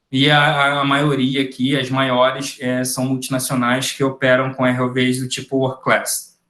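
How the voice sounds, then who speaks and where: A man with a fairly high pitch is heard with audible room echo. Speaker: ROV technician giving a webinar. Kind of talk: webinar lecture.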